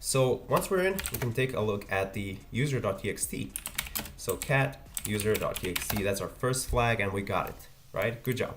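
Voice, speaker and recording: With a Croatian accent, the speaker talks at a fairly quick pace but with long, frequent pauses, over noticeable background noise. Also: man, medium pitch for a man, lively intonation. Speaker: ethical hacking youtuber. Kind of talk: livestream tutorial. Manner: fast.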